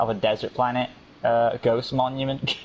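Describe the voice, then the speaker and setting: A man speaks with a British accent. Noticeable background noise runs under his voice. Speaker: gaming YouTuber. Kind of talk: casual gameplay livestream chat. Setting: live stream.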